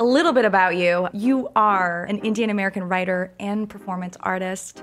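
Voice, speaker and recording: A woman at a medium pitch and moderate pace is captured on a very clean recording with a silent background. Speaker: podcast co-host. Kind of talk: podcast interview.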